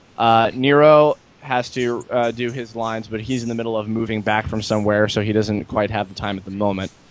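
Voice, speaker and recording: A man with an unremarkable speaking voice. He talks at a moderate pace and a medium pitch. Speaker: amateur flash animator. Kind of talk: casual chat.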